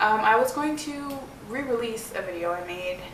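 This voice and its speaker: Noticeable background noise and audible room echo both fill the recording. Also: woman. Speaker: vlogger. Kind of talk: personal vlog. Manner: fast.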